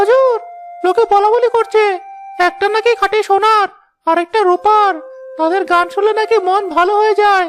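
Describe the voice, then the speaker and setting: A cartoonish character voice speaks at a moderate pace. Music plays in the background. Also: woman. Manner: obsequious, whiny.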